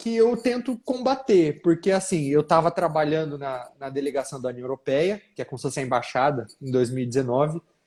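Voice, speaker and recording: A man speaks in a northern Paraná accent with very wide pitch swings. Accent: caipira accent of northern Paraná. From northern Paraná, Brazil. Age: young. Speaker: political author and commentator. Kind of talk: live panel discussion.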